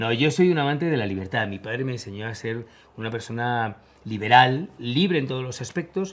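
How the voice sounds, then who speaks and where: A man with a plain, everyday voice speaks at medium pitch. His intonation is lively and his pace fairly quick. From Spain. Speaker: war correspondent. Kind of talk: interview.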